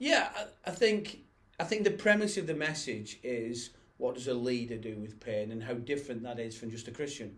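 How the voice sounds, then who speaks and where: Lively intonation and big swings in loudness come through in this Lancashire accent at a moderate pace, with audible room echo. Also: man, medium pitch for a man. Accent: northern English (Bolton). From northern England, Bolton. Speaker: pastor. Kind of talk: casual chat.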